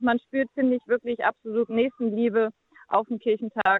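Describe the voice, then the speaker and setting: A woman with a fairly high pitch keeps her intonation fairly even as she talks at a moderate pace. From northern Germany near Denmark. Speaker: church volunteer. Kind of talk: interview. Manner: hesitant with fillers.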